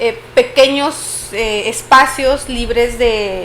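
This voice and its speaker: A woman with a northern Mexican accent speaks at a high pitch over noticeable background noise. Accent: northern Mexican (Chihuahua). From Chihuahua, northern Mexico. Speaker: podcast host. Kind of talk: casual podcast conversation. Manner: frequent filler hesitations.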